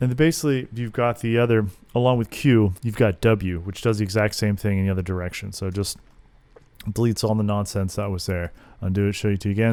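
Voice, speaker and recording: A man's dark, mellow tone at fairly low pitch, with fairly even intonation and a very fast pace. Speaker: video editor. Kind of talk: tutorial. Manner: casual.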